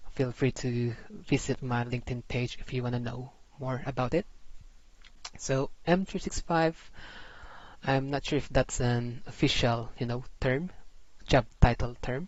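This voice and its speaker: A man with a Filipino accent speaks at a fairly slow pace with long, frequent pauses. His medium-pitched voice is somewhat breathy, with ordinary pitch variation. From Philippines. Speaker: IT systems administrator and tech tutorial creator. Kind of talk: tutorial presentation with slides. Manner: casual, halting with fillers.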